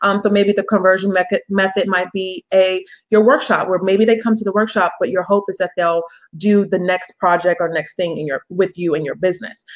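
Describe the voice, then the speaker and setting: At a fairly quick pace, a woman talks in a medium-pitched voice. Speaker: business coach. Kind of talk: webinar presentation. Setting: online webinar. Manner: fast; animated.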